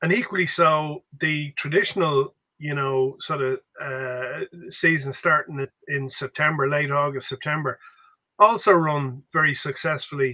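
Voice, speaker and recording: A man's fairly high-pitched voice at a fairly slow pace, with ordinary pitch variation and a quiet background. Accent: Dublin. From Ireland. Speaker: grassroots football podcast co-host. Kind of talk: casual chat. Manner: halting. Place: home room. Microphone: video call.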